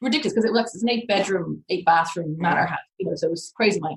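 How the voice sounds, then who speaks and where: A woman talks very fast with an Irish accent. Her voice is somewhat breathy, and her pitch varies in an ordinary way. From Ireland. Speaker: crypto journalist. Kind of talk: podcast interview answer.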